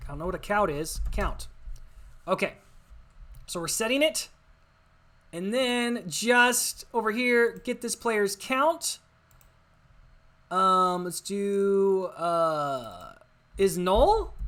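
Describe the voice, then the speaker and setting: Very slowly, a woman speaks with long, frequent pauses. Her pitch swings very widely. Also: medium pitch for a woman. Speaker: game development tutorial creator. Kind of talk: screen-recorded coding tutorial. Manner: casual, thinking aloud with fillers.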